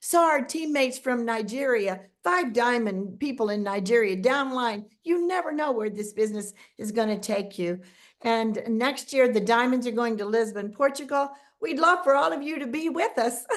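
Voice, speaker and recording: A woman talks at a moderate pace in a high pitch. Her tone is animated, and her intonation is lively. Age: 70s. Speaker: network marketing distributor. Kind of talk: casual chat.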